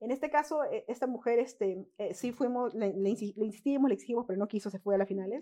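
Her tone dark and mellow, a woman speaks at a fairly high pitch. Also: ordinary pitch variation, fairly quick pace. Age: 20s. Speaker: local councillor. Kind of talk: interview.

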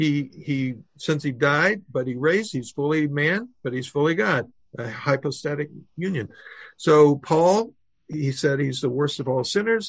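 A man's fairly high, somewhat breathy voice with an American accent, lively intonation and a fairly slow pace. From US, Oklahoma. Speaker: orthopedic surgeon and author. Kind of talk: podcast interview. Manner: halting, repeats words.

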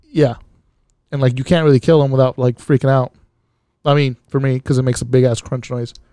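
Recorded in a dry, close sound with no echo, a man with a dark, mellow tone speaks at a medium pitch and a very fast pace, monotone and flat, with long, frequent pauses. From Mexican-American, US. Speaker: podcast co-host. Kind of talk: casual chat.

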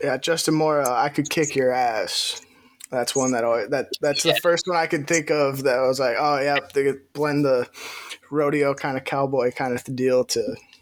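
With an American accent, a man in an ordinary speaking voice talks at a moderate pace, his fairly high pitch carried by fairly even intonation. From Wisconsin, city. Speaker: podcast host. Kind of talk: casual interview chat; sponsor read.

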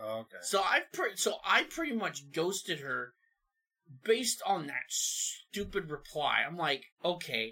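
Music plays in the background as a man with an American accent speaks at a high pitch. His pitch swings very widely. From southern Oregon. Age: 30s. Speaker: truck driver. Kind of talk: casual chat.

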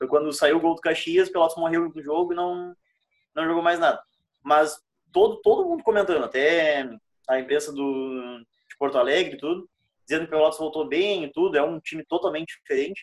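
A man with an ordinary speaking voice and a fairly high pitch talks at a fairly quick pace, his intonation fairly even but his loudness swinging widely. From Rio Grande do Sul. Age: 20s. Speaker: podcast co-host. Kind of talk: casual chat.

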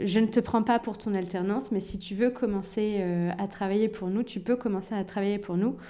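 Dark and mellow in tone, a woman's medium-pitched voice keeps a fairly even intonation. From Normandy, France (Rouen), born in Algeria. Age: 20s. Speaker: real estate agency founder. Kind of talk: interview. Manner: hesitant, many fillers and repetitions.

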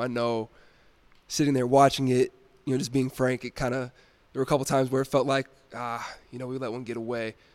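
In an American accent, a man speaks very fast with monotone, flat intonation on a very clean recording with a silent background. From Texas, Dallas. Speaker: college basketball player and podcast host. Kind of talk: casual chat.

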